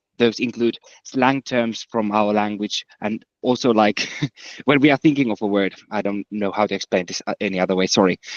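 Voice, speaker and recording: In a Finnish accent, a man talks at a fairly quick pace with a fairly low pitch and ordinary pitch variation, the sound dry and close with no echo. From Finland. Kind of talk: casual chat.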